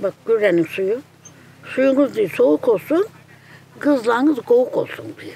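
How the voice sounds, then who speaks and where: Long, frequent pauses break up fairly slow speech with very wide pitch swings and big swings in loudness, all over noticeable background noise. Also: woman, high pitch for a woman. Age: 80s+. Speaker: village elder. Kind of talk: casual chat.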